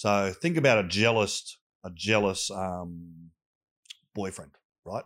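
A man with an Australian accent and fairly even intonation, on a very clean recording with a silent background. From Australia, southwestern Sydney. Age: 40s. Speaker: youth mentor. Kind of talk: casual interview chat. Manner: halting, with restarts.

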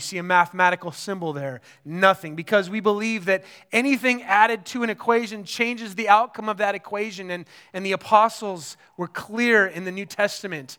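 A man's high-pitched, bright, sharp voice is raised and projected on a very clean recording with a silent background. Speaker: pastor. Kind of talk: sermon. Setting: church service with congregation. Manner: warm and encouraging.

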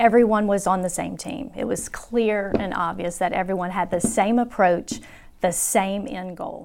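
There is vocal fry in this woman's medium-pitched voice as she speaks at a moderate pace with ordinary pitch variation. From Baton Rouge, Louisiana. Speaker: operations specialist. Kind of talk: interview.

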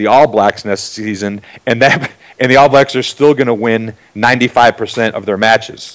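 With an American accent, this is an ordinary speaking voice with fairly even intonation. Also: man. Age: 40s. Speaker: strength and conditioning coach. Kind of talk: interview.

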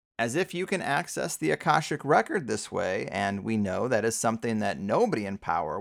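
With an American accent, a man talks at a fairly quick pace with very wide pitch swings on a very clean recording with a silent background. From US, San Diego. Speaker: podcast host. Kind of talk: interview conversation.

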